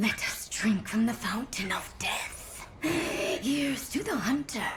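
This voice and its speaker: Whispering at a fairly slow pace, a female-sounding voice puts on a character voice. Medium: read story. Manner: solemn, ominous.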